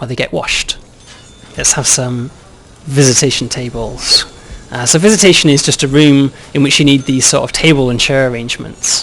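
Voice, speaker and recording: A man's fairly high voice at a moderate pace, with long, frequent pauses, ordinary pitch variation and noticeable background noise. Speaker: game developer. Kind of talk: game walkthrough demo.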